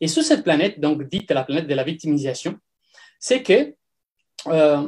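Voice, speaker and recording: With an Italian accent, a man speaks at a moderate pace in a fairly high pitch, using ordinary pitch variation. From Italy. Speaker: personal development coach. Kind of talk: talk on personal growth. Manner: halting, many fillers.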